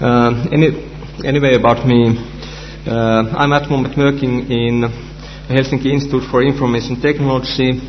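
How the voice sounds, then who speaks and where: A man with a Finnish accent speaks at a moderate pace in a medium pitch, his intonation flat and monotone and his loudness very even. Room echo is audible, along with noticeable background noise. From Finland. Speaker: researcher and conference speaker. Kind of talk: conference talk. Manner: halting, many fillers.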